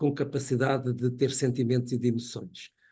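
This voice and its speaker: A man speaks at a medium pitch and a moderate pace. His tone is dark and mellow, and somewhat breathy. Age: 70s. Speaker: professor. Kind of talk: lecture. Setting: webinar.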